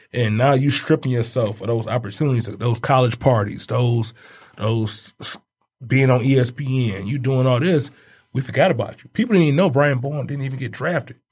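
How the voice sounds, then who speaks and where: Somewhat breathy, a man with an American accent talks at medium pitch and a fairly quick pace with ordinary pitch variation. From Detroit. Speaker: basketball coach. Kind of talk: casual chat.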